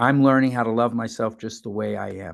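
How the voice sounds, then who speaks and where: Over a quiet background, a man with a New York accent speaks at a medium pitch with fairly even intonation. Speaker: mental health advocate and family facilitator. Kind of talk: talk to a support group audience.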